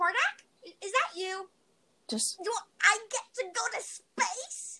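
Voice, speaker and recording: A female-sounding put-on character voice speaks at a very slow pace. Its pitch is extremely high. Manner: excitable.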